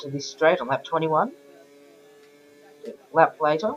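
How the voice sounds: At a fairly slow pace, a man speaks in a croaky voice at a fairly high pitch.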